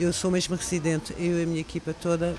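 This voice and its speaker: A woman speaks in a very deep, low pitch. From France. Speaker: makeup artist. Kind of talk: interview.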